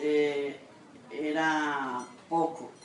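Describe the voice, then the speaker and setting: A woman's very deep, low voice amid noticeable background noise and audible room echo. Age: 70s. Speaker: grandmother interviewee. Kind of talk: interview testimony. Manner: halting.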